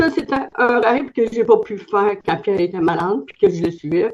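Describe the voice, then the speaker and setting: In a Quebec accent, a woman speaks fairly slowly at a medium pitch with lively intonation. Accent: Québécois French. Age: 70s. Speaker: testimonial giver, network marketer. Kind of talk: testimony.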